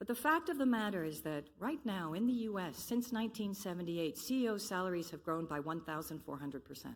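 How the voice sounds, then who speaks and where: Speaking very fast in an American accent, a woman uses a medium pitch with very wide pitch swings. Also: hardly any pauses. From Belgium. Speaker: conference speaker on sustainable development. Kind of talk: conference presentation.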